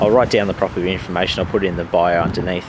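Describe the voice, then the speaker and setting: A man talks over noticeable background noise. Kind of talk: casual vlog narration. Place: factory. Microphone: phone near.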